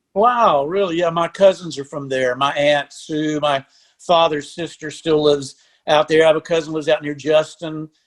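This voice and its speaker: A man with a Texan accent speaks at a moderate pace, his fairly high voice keeping a fairly even intonation. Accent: Texan Southern US. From Texas (Lampasas, central Texas). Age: 60s. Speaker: country musician and songwriter. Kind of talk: casual interview chat.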